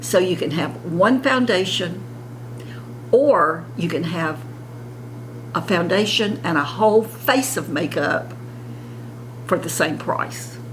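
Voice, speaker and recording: In a Southern US accent, a woman speaks at a very slow pace with long, frequent pauses. Audible room echo and noticeable background noise surround her voice. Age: 70s. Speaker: beauty vlogger. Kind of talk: casual makeup tutorial.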